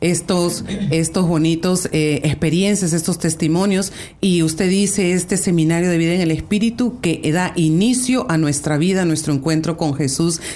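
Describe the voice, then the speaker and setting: A woman with a normal speaking voice talks at a moderate pace and a fairly low pitch, with ordinary pitch variation and very even loudness. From Peru. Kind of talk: religious radio talk show. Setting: radio studio.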